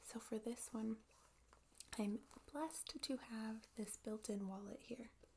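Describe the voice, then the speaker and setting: A soft-spoken woman with a fairly high pitch and a dark, mellow tone speaks somewhat breathily at a very slow pace, with fairly even intonation and long, frequent pauses. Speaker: ASMR creator. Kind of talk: ASMR show and tell.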